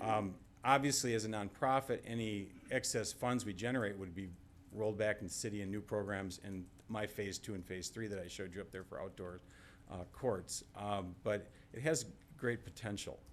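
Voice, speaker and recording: Some room echo can be heard. The intonation is fairly even. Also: man, fairly low pitch for a man. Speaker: tennis association representative presenting to city council. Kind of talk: public presentation at council meeting. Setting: city council meeting chamber. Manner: fast.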